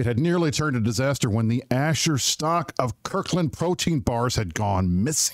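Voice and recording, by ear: The text is read aloud in a natural voice. The intonation is lively.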